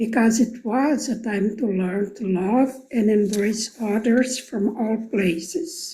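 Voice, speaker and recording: A woman's somewhat breathy, dark, mellow voice with a Portuguese accent, very slow in pace yet with hardly any pauses. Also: fairly high pitch for a woman, ordinary pitch variation. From Brazil. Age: 70s. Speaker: program alumna. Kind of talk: recorded video testimony. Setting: pre-recorded video.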